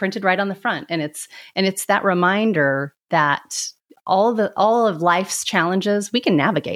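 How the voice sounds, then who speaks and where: Lively intonation marks a woman's unremarkable speaking voice at a medium pitch, in a very clean recording with a silent background. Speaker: podcast host. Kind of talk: interview, scripted intro.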